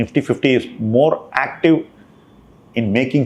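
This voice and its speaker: In an Indian accent, a man speaks at a moderate pace. His pitch is medium, with ordinary variation. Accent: Indian English (Tamil). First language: Tamil. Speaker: investment manager. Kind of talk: monthly portfolio review talk.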